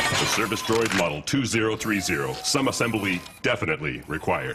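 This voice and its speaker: A man's cartoonish character voice, fairly low in pitch and fairly quick in pace, with sound effects and clear noise in the background. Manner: dry, deadpan.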